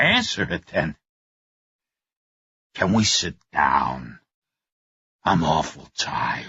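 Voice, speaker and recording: Using a put-on character voice with a very deep, low pitch, a man speaks at a very slow pace with long, frequent pauses. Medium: read story. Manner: gruff, evasive.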